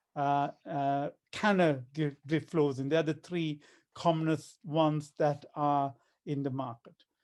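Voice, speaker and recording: An ordinary speaking voice with fairly even intonation at a fairly slow pace, over a quiet background. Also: man, fairly high pitch for a man. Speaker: kidney doctor. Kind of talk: health talk.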